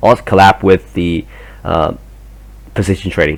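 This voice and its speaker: A man speaks in a very deep, low voice with vocal fry. He has a non-native accent and a moderate pace. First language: not English. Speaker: trading educator. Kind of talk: tutorial. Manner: halting; hesitant, many fillers.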